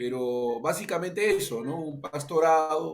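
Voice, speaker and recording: Fairly slow speech from a man. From Peru. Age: 60s. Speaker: pastor. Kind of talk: interview. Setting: radio interview. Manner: halting, many fillers.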